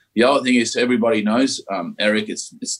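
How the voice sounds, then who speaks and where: Fairly quick speech from a man in an Australian accent, with ordinary pitch variation. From Australia, Victoria (Ballarat). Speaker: mining company CEO, geologist. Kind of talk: interview.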